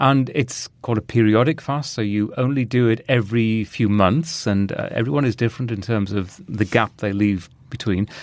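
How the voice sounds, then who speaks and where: A man speaks in a British accent at a moderate pace, with ordinary pitch variation and hardly any pauses. The background is quiet. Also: medium pitch for a man. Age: 50s. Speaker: podcast host and broadcaster. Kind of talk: casual interview chat.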